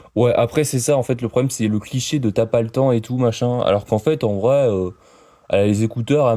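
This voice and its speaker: A man speaks fairly quickly at a medium pitch, his tone dark and mellow. The recording is very clean, with a silent background. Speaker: YouTube reaction streamer. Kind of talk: reaction commentary. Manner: fast; animated.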